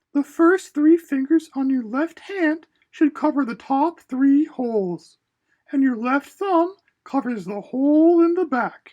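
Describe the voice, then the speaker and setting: In a put-on character voice, the speaker talks at a high pitch and a fairly slow pace. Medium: read story. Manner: patient, gentle.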